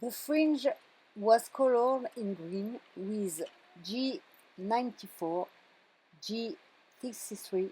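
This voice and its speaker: A woman speaks at a very slow pace with a French accent and long, frequent pauses. Her somewhat breathy voice is fairly high in pitch, with a dark, mellow tone. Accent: French accent, non-fluent English. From France. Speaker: card-making crafter. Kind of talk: craft tutorial voiceover. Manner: halting.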